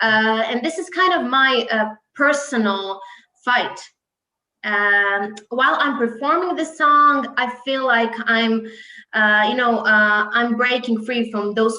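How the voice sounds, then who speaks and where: A woman with a Croatian accent speaks at a fairly high pitch, with ordinary pitch variation. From Croatia, Split. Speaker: singer. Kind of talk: interview. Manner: hesitant, many fillers.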